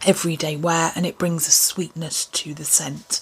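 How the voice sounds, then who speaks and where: Slowish and fairly low in pitch, a woman speaks with an English accent. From England. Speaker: beauty vlogger; lifestyle vlogger. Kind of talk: casual product review. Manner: chatty, casual. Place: home room. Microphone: phone near.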